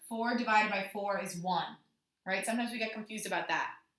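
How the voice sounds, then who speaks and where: A woman's fairly high, bright, sharp voice at a fairly quick pace, with ordinary pitch variation and audible room echo. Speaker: elementary school teacher. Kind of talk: tutorial.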